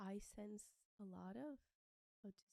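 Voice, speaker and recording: A woman speaks at a medium pitch and a fairly slow pace, her tone dark and mellow. The sound is dry and close, with no echo. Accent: non-native. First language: not English. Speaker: podcast host. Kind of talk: interview.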